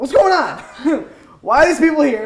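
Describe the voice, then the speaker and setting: High and raspy, a put-on character voice is raised and projected at a moderate pace. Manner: confused, embarrassed.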